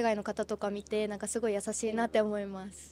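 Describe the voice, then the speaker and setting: A woman's fairly high voice, dark and mellow in tone, at a fairly quick pace, dry with no echo, over light background noise. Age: 20s. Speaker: street interviewee; interviewee. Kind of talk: street interview. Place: street. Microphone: handheld.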